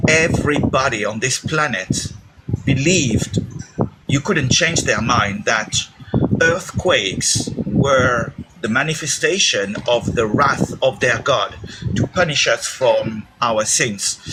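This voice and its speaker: Through noticeable background noise, a man with a non-native accent talks at a very slow pace, his medium pitch moving with lively intonation. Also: very even loudness. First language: not English. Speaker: caller. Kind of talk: debate call-in.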